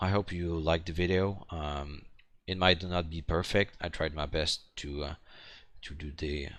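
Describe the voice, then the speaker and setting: Against a quiet background, a man with a French accent speaks at a moderate pace, his very deep, low pitch held in monotone, flat intonation. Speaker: hobbyist maker. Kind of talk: tutorial. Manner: halting, many fillers and repetitions.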